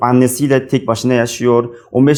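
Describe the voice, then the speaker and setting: A man speaks with an Uzbek accent. His pitch sits in the medium range. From Uzbekistan. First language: Uzbek (speaking Turkish). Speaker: international graduate student. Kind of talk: book talk, monologue to camera. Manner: halting, many fillers.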